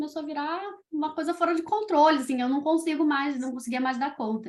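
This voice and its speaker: A woman speaks at a fairly quick pace. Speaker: children's podcaster. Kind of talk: interview. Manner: fast.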